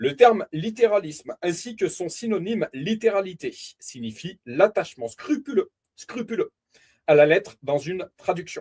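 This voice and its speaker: This man's high voice moves at a fairly slow pace, with very wide pitch swings and big swings in loudness, in a dry, close sound with no echo. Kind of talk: bible teaching. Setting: live stream. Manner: deliberate, repeats key points.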